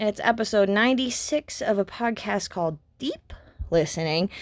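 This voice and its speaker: A woman speaks loudly in an animated tone. Her pitch swings very widely. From Canada. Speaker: graduate student. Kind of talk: scripted presentation.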